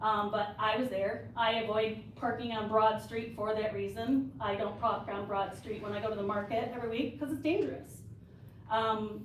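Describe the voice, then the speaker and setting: Audible room echo surrounds a woman speaking at a moderate pace. Her pitch is fairly high. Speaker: local business owner, public commenter. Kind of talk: public comment. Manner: loud.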